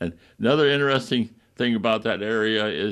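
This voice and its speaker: Speaking at a moderate pace with an upstate New York accent, a man shows ordinary pitch variation against a quiet background. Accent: upstate New York American. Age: 90s. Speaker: retired doctor reminiscing. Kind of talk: interview reminiscence. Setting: TV talk show. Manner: halting with many fillers.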